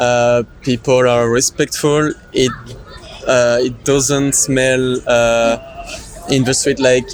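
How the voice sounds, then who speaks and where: A man's medium-pitched voice in a French accent, very slow with long, frequent pauses, monotone and flat, over noticeable background noise. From France, Normandy. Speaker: tourist. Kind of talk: street interview. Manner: halting.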